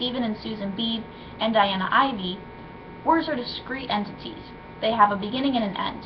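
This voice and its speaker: A woman with a fairly high pitch and ordinary pitch variation at a fairly quick pace, amid noticeable background noise and audible room echo. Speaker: student. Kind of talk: reading aloud. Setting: webcam recording. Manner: soft-spoken; halting.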